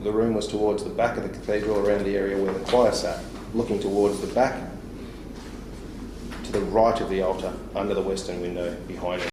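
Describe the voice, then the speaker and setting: Amid noticeable background noise and audible room echo, the speaker talks in an Australian accent at a fairly quick pace with monotone, flat intonation and long, frequent pauses. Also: man, fairly low pitch for a man. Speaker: police interviewer. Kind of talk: police interview.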